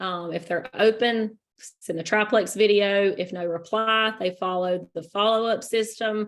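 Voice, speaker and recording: Speaking at a fairly slow pace, a woman with an unremarkable speaking voice uses a medium pitch and fairly even intonation, with big swings in loudness. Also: hardly any pauses. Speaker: network marketing team leader. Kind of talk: training presentation.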